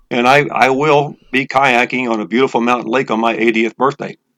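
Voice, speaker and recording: A man's voice with fairly even intonation comes through in a dry, close sound with no echo. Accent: American. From Texas, Houston. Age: 60s. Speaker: breathing method instructor, retired business owner. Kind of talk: interview. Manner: halting, with frequent repetitions.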